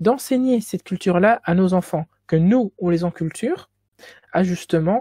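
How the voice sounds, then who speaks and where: A woman speaks in a Belgian accent with a dark, mellow tone at a fairly low pitch. The sound is dry and close with no echo. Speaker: student lecturer. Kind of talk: lecture. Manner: stuttering.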